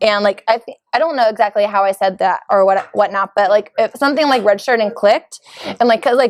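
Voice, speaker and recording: A woman's fairly high, animated voice at a very fast pace, with ordinary pitch variation and a dry, close sound with no echo. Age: 30s. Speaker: personal trainer. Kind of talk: casual chat.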